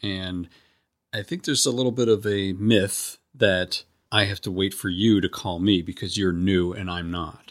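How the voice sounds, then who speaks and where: A man with a normal speaking voice talks at a moderate pace, his pitch fairly low and his intonation fairly even, on a very clean recording with a silent background. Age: 50s. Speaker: podcast host in addiction recovery. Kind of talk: interview conversation. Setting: face-to-face recording in a neighbor's house.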